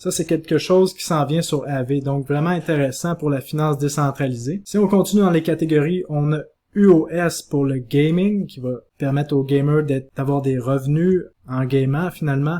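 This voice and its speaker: A man with a Quebec accent, fairly high-pitched, dark and mellow in tone, with fairly even intonation. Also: moderate pace. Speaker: crypto investment youtuber. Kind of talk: explainer video.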